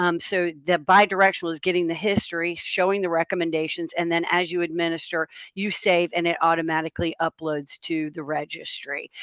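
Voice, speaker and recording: Dry and close with no echo, a woman with a North Carolina accent speaks fairly quickly in a fairly low pitch with monotone, flat intonation. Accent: Southern US (North Carolina). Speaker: health software company representative, webinar panelist. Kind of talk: webinar panel discussion. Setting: Zoom webinar. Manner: conversational with frequent fillers.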